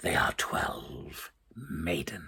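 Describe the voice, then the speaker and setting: A man whispers in a put-on character voice. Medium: read story. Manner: knowing, self-assured.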